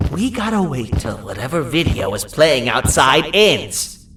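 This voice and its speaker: The speaker uses a put-on character voice at a middle pitch. Pitch swings very widely while the pace stays moderate. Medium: video game. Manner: nervous, apologetic.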